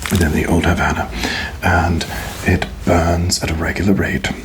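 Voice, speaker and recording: A man whispers at a fairly slow pace against noticeable background noise. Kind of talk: ASMR roleplay, cigar lounge attendant speaking to the listener. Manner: soft, slow, polite, hospitable.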